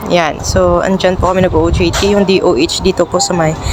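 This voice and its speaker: Fairly quick speech from a woman amid noticeable background noise. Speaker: vlogger. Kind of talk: casual vlog narration. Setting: outdoors outside the office.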